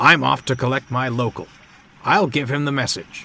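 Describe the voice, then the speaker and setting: A put-on character voice speaks at a moderate pace. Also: man, medium pitch for a man. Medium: read story. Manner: polite, earnest.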